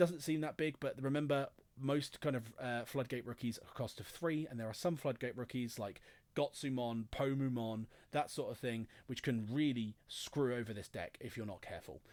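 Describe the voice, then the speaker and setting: Speaking at a fairly quick pace, a man has a medium pitch and ordinary pitch variation. The recording is very clean, with a silent background. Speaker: card game content creator. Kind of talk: deck profile tutorial. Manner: fast.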